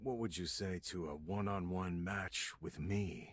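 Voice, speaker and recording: This cartoonish character voice carries ordinary pitch variation. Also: man, very deep, low pitch for a man, moderate pace. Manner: calm, self-assured.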